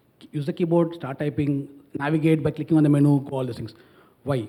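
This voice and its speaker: At a very fast pace, a man speaks in a fairly high, somewhat breathy voice with a dark, mellow tone. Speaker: startup founder on a panel. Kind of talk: panel discussion.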